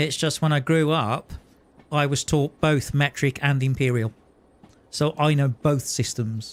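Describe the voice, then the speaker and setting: A man speaks with a British accent. His pitch is fairly high. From UK. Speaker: gaming streamer. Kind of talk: live gameplay commentary. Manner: casual, with frequent hesitations.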